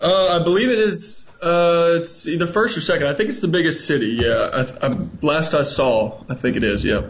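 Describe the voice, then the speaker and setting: With hardly any pauses, a high-pitched man talks at a moderate pace, his pitch swinging very widely, and there is audible room echo. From Alabama, Huntsville. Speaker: English teacher abroad. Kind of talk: radio interview.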